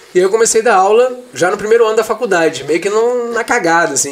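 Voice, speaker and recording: A man speaks over noticeable background noise. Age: 30s. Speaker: history teacher. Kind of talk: casual interview. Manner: halting, repeats words.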